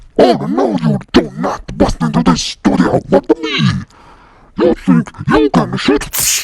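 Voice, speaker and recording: In a put-on character voice, the speaker goes at a fairly slow pace with very wide pitch swings. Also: man, very deep, low pitch for a man. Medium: audio drama. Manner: menacing, mocking.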